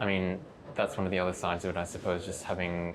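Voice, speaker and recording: With noticeable background noise behind him, a man speaks at a very deep, low pitch in a monotone, flat intonation. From UK. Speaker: junior doctor. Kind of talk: interview. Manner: hesitant, many fillers.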